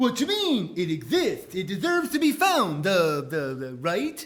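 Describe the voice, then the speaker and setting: Put-on character voice from a man, pitched high and moving at a moderate pace. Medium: audio drama.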